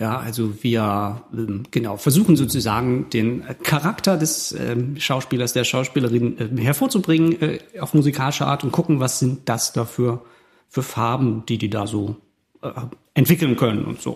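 A somewhat breathy man on a very clean recording with a silent background. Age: 40s. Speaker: theatre musician and cabaret artist. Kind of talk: casual chat.

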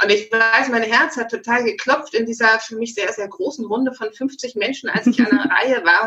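A woman with a fairly high pitch uses a normal speaking voice, talking at a moderate pace with ordinary pitch variation. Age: 40s. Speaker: online magazine founder. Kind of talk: interview.

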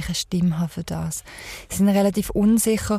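This woman talks at a very fast pace with a medium pitch. Her voice is somewhat breathy. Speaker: podcast host. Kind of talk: interview. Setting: mobile podcast studio vehicle.

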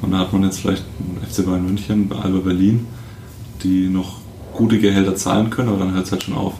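Over noticeable background noise and audible room echo, a man with a very deep, low voice talks at a fairly quick pace in a monotone, flat way, leaving long, frequent pauses. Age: 20s. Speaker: amateur basketball player. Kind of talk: casual chat.

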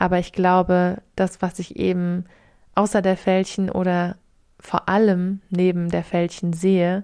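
A woman talks at a fairly slow pace, medium in pitch, with a dark, mellow tone. The recording is very clean, the background silent. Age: 20s. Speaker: spiritual mentor and podcast host. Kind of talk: solo podcast monologue.

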